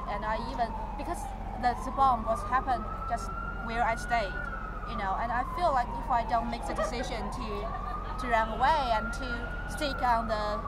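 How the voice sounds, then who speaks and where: Loud background noise surrounds a woman speaking at a moderate pace in a dry sound with no echo. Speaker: witness. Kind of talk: interview answer. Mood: earnest, recalling a frightening event. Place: street.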